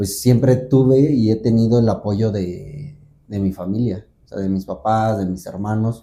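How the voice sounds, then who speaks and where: A man's pitch sits fairly low and varies in an ordinary way, in an ordinary speaking voice. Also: fairly slow pace. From central Mexico (Guanajuato). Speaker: folk dancer. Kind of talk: interview conversation.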